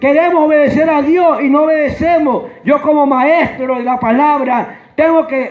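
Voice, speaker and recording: With noticeable background noise and audible room echo, a man speaks at a fairly slow pace in an extremely high pitch and an animated tone. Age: 60s. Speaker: preacher. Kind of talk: sermon.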